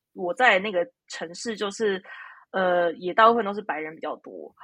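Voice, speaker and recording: A woman's voice at a medium pitch and a moderate pace. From Taiwan. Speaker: psychotherapist. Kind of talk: interview. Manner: halting, many fillers.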